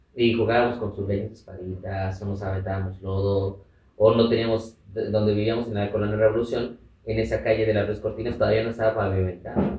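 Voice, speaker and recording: A man's fairly low voice, fairly quick and flat in a monotone. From Mexico, Chiapas and Mexico City. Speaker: activist and radio presenter. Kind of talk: interview, life story.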